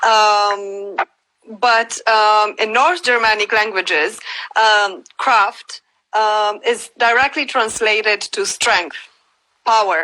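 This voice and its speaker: A woman with a Romanian accent speaks at a very slow pace, her loudness very even. Her voice is fairly high and bright, sharp in tone, with ordinary pitch variation. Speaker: cultural rights advocate. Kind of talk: interview. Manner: halting, many fillers.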